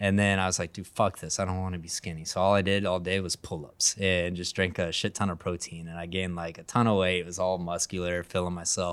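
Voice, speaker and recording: A man with a slight Texan accent talks very fast with hardly any pauses, his very deep, low voice monotone and flat, on a very clean recording with a silent background. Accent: slight Texan twang. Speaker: roughneck. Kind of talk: casual chat.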